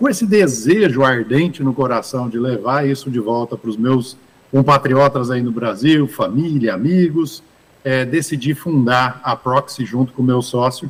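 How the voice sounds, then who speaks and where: A man has an unremarkable speaking voice with ordinary pitch variation. He talks at a fairly slow pace. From Brazil, interior of São Paulo state (Ribeirão Preto). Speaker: investment fund manager. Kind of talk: interview at business summit.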